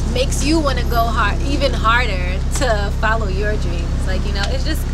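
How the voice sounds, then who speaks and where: Loud background noise fills the clip. A woman speaks at a fairly slow pace. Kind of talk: interview answer. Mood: warm, smiling, heartfelt.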